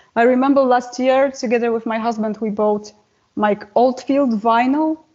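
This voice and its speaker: A woman keeps a fairly even intonation in her high voice, speaking at a moderate pace. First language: not English. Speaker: metal singer and guitarist. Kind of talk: interview.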